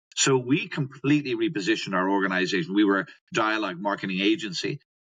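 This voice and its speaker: A man with an Irish accent speaks at a very fast pace. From Ireland. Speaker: customer experience educator, company founder. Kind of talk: podcast interview.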